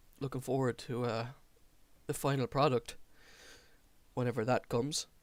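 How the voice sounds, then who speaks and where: On a very clean recording with a silent background, a man with an Irish accent speaks at a medium pitch and a moderate pace, his intonation monotone and flat. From Ireland. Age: 20s. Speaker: gaming streamer. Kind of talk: casual gameplay commentary.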